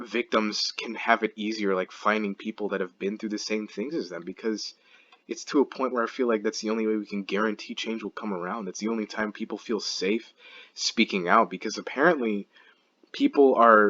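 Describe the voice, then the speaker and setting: A man's fairly low voice moves at a moderate speed with ordinary pitch variation. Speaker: gaming commentary youtuber. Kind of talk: casual monologue. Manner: halting, stumbles over words.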